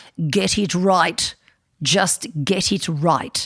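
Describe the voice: A put-on character voice speaks at a middle pitch.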